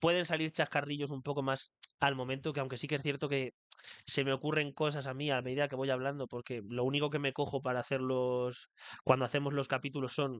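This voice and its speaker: A man at a very fast pace in a monotone, flat intonation, the sound dry and close with no echo and a quiet background. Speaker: podcast host. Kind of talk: solo podcast monologue. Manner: occasionally stumbling over words.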